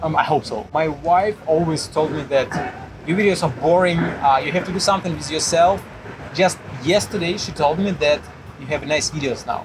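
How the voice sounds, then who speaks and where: Set against noticeable background noise, a man's fairly high voice carries a Russian accent and ordinary pitch variation. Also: moderate pace. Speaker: puzzle YouTuber. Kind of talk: casual interview chat. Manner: halting, many fillers.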